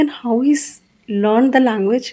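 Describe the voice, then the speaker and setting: A woman with an Indian accent speaks at a fairly slow pace and a fairly high pitch. Her intonation is lively. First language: Hindi. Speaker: English teacher. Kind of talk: interview.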